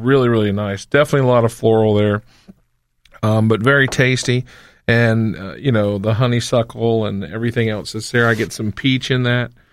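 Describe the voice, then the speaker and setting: A man with an unremarkable speaking voice and an American accent talks at a fairly quick pace and medium pitch, his intonation fairly even, in a very clean recording with a silent background. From North Carolina. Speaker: wine festival organizer. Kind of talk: casual chat. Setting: studio.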